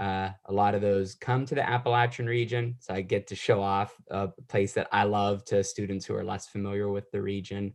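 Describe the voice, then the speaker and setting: With an American accent and an ordinary speaking voice, a man talks at a moderate pace in a fairly low pitch, his intonation fairly even and hardly any pauses, against a quiet background. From West Virginia (Wheeling). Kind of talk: interview.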